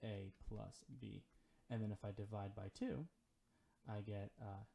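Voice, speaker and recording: A somewhat breathy man with a fairly low pitch and a dark, mellow tone, at a fairly slow pace. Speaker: math teacher. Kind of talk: lecture. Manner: hesitant, many fillers.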